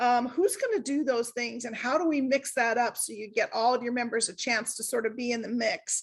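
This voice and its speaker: A woman talks loudly at a fairly quick clip, with hardly any pauses. Her pitch is high with ordinary variation, over a quiet background. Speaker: service club member giving a talk. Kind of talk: online workshop presentation. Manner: casual, chatty with many fillers.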